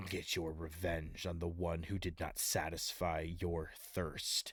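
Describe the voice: A man growls in a booming, put-on character voice at a very deep, low pitch. His intonation is monotone and flat, his pace fairly slow.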